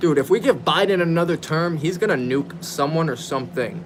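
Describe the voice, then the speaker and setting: A man with a high pitch and a fairly quick pace, over noticeable background noise. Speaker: gaming livestreamer. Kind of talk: casual chat. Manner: animated.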